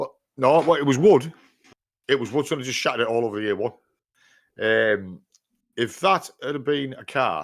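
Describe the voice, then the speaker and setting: A man with a Yorkshire accent at medium pitch, with lively intonation, big swings in loudness, a moderate pace and long, frequent pauses, in a very clean recording with a silent background. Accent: northern English (Yorkshire). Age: 60s. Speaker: podcast host, van driver. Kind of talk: casual chat. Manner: animated.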